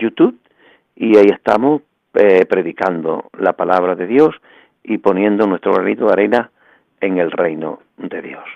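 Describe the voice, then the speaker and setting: An ordinary speaking voice from a man, fairly low in pitch, at a moderate pace with ordinary pitch variation, in a dry, close sound with no echo. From Andalusia, Bay of Cádiz (El Puerto de Santa María). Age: 60s. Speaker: evangelical pastor. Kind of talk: radio interview testimony.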